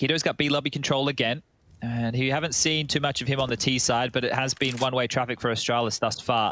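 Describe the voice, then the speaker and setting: A man talks at a very fast pace in a bright, sharp tone, with medium pitch, fairly even intonation and very even loudness. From Australia. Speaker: esports caster. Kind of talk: live commentary.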